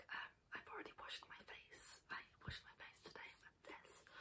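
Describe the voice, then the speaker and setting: Whispering at a moderate pace, a woman has a relaxed tone. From UK. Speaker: ASMR creator. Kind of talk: casual talk to camera, product demonstration. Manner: soft-spoken, relaxed, chatty, whispery. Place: home room. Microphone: earbuds.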